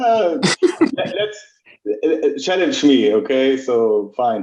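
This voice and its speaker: A man with a German accent, a fairly high pitch and a dark, mellow tone speaks at a very slow pace with very wide pitch swings, and audible room echo can be heard. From Germany. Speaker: logistics executive. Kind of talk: webinar talk. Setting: live video call webinar.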